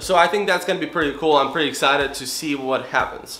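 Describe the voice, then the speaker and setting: A fairly high-pitched man's voice with audible room echo and noticeable background noise. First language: not English. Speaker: real estate wholesaler vlogger. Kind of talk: casual vlog.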